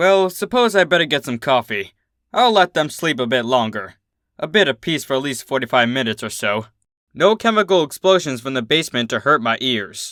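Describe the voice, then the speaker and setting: A man puts on a character voice, fairly high-pitched and rumbling, with very wide pitch swings at a fairly quick pace. The recording is very clean, with a silent background. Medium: read story. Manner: grumbling, sarcastic.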